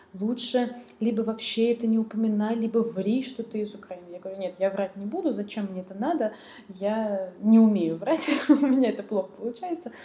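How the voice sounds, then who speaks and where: Big swings in loudness and ordinary pitch variation come through over noticeable background noise. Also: woman, fairly high pitch for a woman. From Russia, central Moscow. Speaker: refugee guest. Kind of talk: casual chat.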